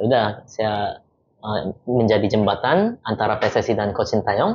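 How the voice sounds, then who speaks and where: There is a Korean accent in this man's voice. He speaks at a fairly low pitch with fairly even intonation. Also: moderate pace. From South Korea, moved to Indonesia at about 15. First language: Korean (speaking Indonesian). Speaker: football team interpreter. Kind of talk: casual interview chat.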